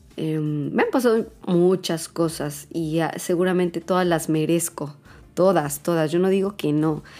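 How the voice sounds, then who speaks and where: A woman with a dark, mellow tone and fairly low pitch speaks fairly slowly, her intonation fairly even. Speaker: podcaster. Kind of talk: personal monologue. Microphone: new microphone.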